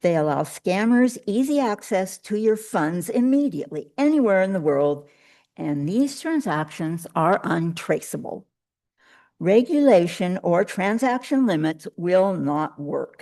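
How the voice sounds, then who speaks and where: A woman with a dark, mellow tone and medium pitch speaks with very wide pitch swings against a quiet background. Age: 70s. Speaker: public commenter, scam victim. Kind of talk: public comment at council meeting. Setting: council chamber with microphone.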